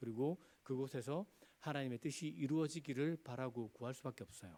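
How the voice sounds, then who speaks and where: Fairly quick delivery from a man at medium pitch, dark, mellow tone, ordinary pitch variation. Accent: Gyeongsang. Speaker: pastor. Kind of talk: sermon.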